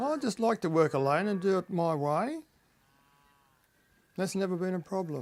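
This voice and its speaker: A man with an Australian accent at a high pitch, lively intonation, moderate pace and long, frequent pauses. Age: 70s. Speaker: dairy farmer. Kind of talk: interview.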